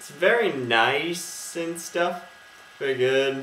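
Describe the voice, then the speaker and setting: A man is speaking with some room echo audible. Light background noise is present. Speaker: toy reviewer. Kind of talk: casual review vlog. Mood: playful, relaxed. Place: home room. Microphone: webcam.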